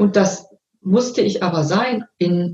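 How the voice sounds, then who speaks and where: A woman speaks in a calm tone that is somewhat breathy. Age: 50s. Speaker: coach. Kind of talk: interview.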